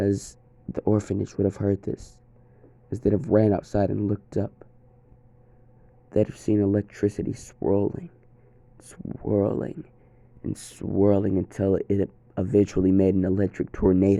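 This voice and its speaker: A man's dark, mellow tone at a fairly slow pace, broken by long, frequent pauses. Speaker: fan fiction storyteller. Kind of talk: first-person story narration. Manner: casual, with filler hesitations.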